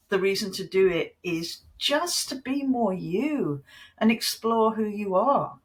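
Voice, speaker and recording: The speaker has a British accent. The delivery is fairly slow. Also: woman. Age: 60s. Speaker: creative coach and former magazine editor. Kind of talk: podcast interview.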